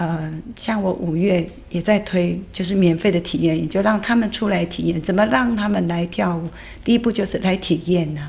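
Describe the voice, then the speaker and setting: A woman speaks at a moderate pace in a fairly low voice with vocal fry. Her pitch varies in an ordinary way. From Taiwan, Yilan fishing village. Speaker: dance teacher. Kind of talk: interview conversation.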